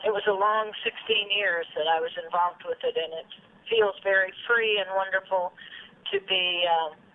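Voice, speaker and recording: Noticeable background noise sits behind a woman speaking with an American accent. Her medium-pitched voice keeps fairly even intonation at a moderate pace. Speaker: former radio news reporter and city council member. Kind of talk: interview.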